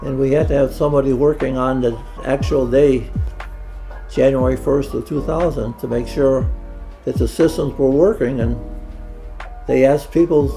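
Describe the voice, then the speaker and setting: A man at a moderate pace with long, frequent pauses and music in the background. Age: 80s+. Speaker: retiree. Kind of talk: interview answer.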